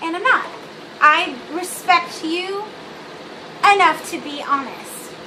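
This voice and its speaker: A raised, projected voice carries through audible room echo and noticeable background noise. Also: woman. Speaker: video blogger. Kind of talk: casual vlog monologue. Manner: bubbly; rambling, many fillers.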